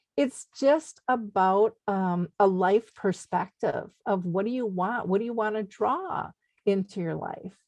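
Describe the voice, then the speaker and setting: Speaking fairly slowly, a woman uses a medium pitch with ordinary variation in an Upper Midwest accent. The sound is dry and close, with no echo. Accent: Upper Midwest American. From Minnesota, US. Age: 60s. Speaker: radio host. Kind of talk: interview. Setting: radio show.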